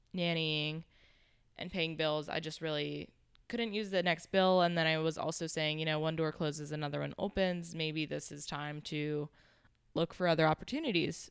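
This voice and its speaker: The speaker has an American accent. Intonation stays fairly even. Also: woman, very clean recording, silent background. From Pittsburgh, Pennsylvania. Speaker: business professional. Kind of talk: casual interview.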